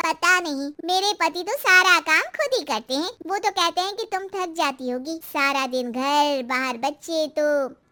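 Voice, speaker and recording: With hardly any pauses, a woman uses a cartoonish character voice at an extremely high pitch, speaking at a moderate pace with lively intonation. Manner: frank, warm.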